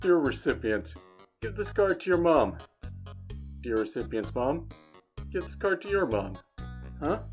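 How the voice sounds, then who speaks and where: In a put-on character voice pitched low, the speaker moves at a moderate pace with long, frequent pauses while faint music plays in the background. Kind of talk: character Valentine card reading.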